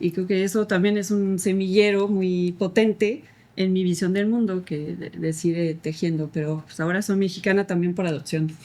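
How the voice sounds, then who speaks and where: Delivered at a moderate pace with hardly any pauses, the voice has a dark, mellow tone and fairly even intonation. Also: woman, medium pitch for a woman. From France, French-English family. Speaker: adoptive mother, podcast guest. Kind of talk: interview.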